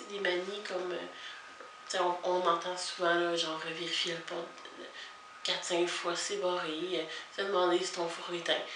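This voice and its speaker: Noticeable background noise sits behind a woman's medium-pitched voice. She speaks at a very slow pace. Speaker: vlogger. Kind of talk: casual talk to camera.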